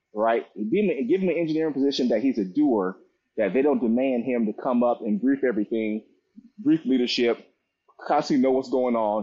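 In an ordinary speaking voice, a man talks at a fairly quick pace and medium pitch, with ordinary pitch variation and very even loudness. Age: 40s. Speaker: business consultant and engineer, Air Force veteran. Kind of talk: interview. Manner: repetitive, stumbling speech.

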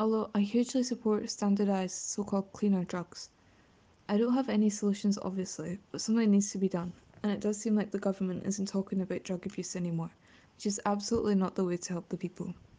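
A woman talks very fast in a Glasgow accent, her tone dark and mellow and somewhat breathy. Her intonation is flat and monotone. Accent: Scottish (Glasgow). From west of Scotland, near Glasgow. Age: young. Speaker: student. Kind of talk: prepared statement.

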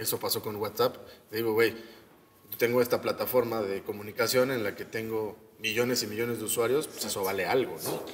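Over noticeable background noise, a man of medium pitch talks at a fairly quick pace with a Mexican accent. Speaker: podcast co-host. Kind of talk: casual chat.

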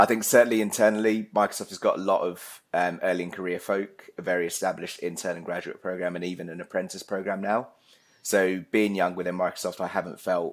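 Talking at a very fast pace, a man with a very deep, low pitch keeps a monotone, flat intonation. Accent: southern English. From Essex, England. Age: 30s. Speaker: account executive. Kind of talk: casual chat.

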